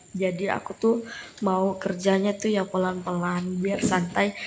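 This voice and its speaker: Somewhat breathy, a woman talks at a moderate pace. Her medium pitch stays monotone and flat. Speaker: vlogger. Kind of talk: casual vlog narration. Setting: at home. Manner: casual, chatty.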